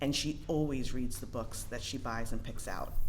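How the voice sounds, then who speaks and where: A woman speaks at a moderate pace in a very deep, low pitch with vocal fry. Her pitch varies in an ordinary way, and audible room echo is present. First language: not English. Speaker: parent public commenter. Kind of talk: public comment. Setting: school board meeting at microphone. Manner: casual, hesitant with fillers.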